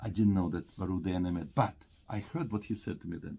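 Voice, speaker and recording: A man's somewhat breathy voice with a dark, mellow tone, over a quiet background. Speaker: host at university event. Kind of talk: interview. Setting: office event with audience. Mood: earnest, reflective. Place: office. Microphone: phone near.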